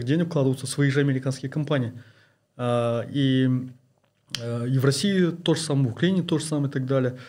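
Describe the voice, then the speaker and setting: This man's voice sits at a fairly high pitch and is somewhat breathy. His intonation stays fairly even. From Kazakhstan. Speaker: investment blogger and oil and gas engineer. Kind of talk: interview. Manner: halting, many fillers.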